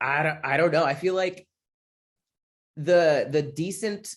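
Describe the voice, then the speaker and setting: Ordinary pitch variation from a man with an American accent. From US Midwest (Michigan). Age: 20s. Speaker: comedian and military veteran. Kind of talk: interview. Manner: casual, halting with restarts.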